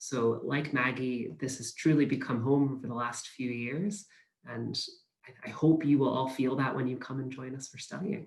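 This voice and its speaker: A normal speaking voice from a man, medium in pitch, with an American accent, ordinary pitch variation, a moderate pace and big swings in loudness. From US, Pennsylvania. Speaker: university recruitment manager. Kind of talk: webinar presentation.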